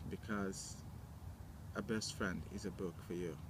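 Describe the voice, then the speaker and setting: Speaking with a Kurdish accent, a man moves at a very slow pace with ordinary pitch variation. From Iraqi Kurdistan. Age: 20s. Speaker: interviewee telling life story. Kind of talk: personal testimony. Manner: halting, with many fillers.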